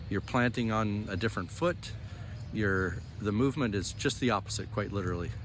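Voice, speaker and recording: A man's fairly low voice with vocal fry, at a fairly quick pace with ordinary pitch variation. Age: 60s. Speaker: senior disc golfer. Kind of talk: casual interview chat.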